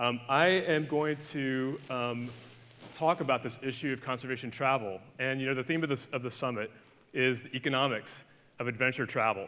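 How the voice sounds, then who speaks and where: On a very clean recording with a silent background, a man with an Alabama accent speaks in a bright, sharp tone at a medium pitch, moderate pace and fairly even intonation. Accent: Southern US (Alabama). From Alabama, US South. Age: 40s. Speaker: conservationist. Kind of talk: conference keynote talk. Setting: stage with audience.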